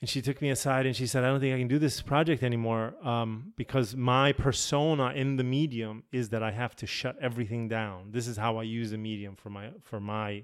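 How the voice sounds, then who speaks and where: Speaking at a fairly quick pace, a man uses a medium pitch. His pitch variation is ordinary. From Poland, moved to US at about nine. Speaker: filmmaker. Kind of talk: interview. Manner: hesitant, many fillers.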